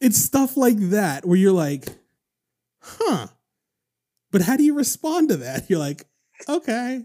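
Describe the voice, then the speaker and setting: With a dark, mellow tone, a man speaks high in pitch at a fairly slow pace, his voice swinging very widely in pitch between long, frequent pauses. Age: 30s. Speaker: podcast host. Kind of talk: casual chat.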